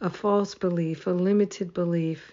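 A woman with an American accent speaks at a medium pitch in a warm tone. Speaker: spiritual teacher leading daily prayer. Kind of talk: fervent affirmative prayer, repeated gratitude declarations building to triple amen. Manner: warm, rhythmic, incantatory, swelling with emphatic repetition; affectionate, laughs often, gushing.

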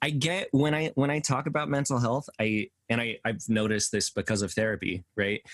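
With an American accent and a normal speaking voice, a man talks at a moderate pace with ordinary pitch variation, the sound dry and close with no echo against a quiet background. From Colorado, US (Aurora). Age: 30s. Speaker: musician, songwriter. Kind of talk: casual chat. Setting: video call.

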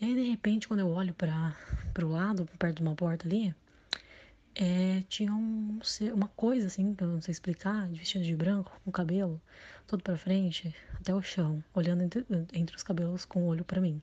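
Speaking fairly quickly, a woman uses a medium pitch and fairly even intonation in a dark, mellow, somewhat breathy tone. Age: 20s. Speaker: listener sharing a story. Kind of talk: recorded personal story.

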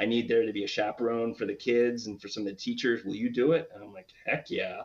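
A man speaks with an American accent. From US, Washington DC. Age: 50s. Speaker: baseball fan, former stadium grounds crew. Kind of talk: casual interview chat.

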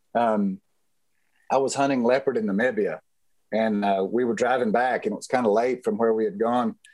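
A man talks at a fairly quick pace with a Texan accent. His pitch varies in an ordinary way. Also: medium pitch for a man. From West Texas. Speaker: rancher and safari hunter. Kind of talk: interview storytelling.

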